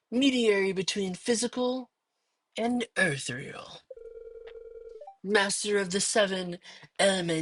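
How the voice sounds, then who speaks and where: A put-on, female-sounding character voice at a medium pitch, moderate pace, and long, frequent pauses. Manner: pompous, menacing.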